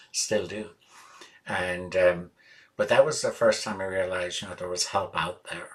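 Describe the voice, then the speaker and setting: Speaking fairly quickly, this man has an Irish accent. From Ireland. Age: 60s. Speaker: musician. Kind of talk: interview. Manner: hesitant, many fillers.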